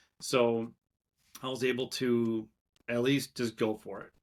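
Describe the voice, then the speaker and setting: This man speaks with a Minnesotan accent and flat, monotone intonation. The recording is very clean, with a silent background. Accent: Minnesota. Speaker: entrepreneur. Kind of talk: podcast interview. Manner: casual, hesitant with fillers.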